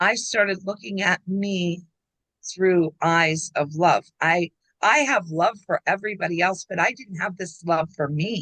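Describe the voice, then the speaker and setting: A woman's medium-pitched voice, bright and sharp in tone, at a fairly slow pace with ordinary pitch variation, in dry, close sound with no echo. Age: 60s. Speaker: coaching client and aspiring speaker. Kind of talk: testimonial in casual video chat. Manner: animated.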